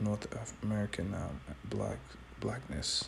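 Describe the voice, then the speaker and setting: A quiet man's voice, very deep and low in pitch, at a fairly slow pace. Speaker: street preacher. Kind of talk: bible teaching commentary. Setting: at home early morning, others sleeping. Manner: quiet, low voice.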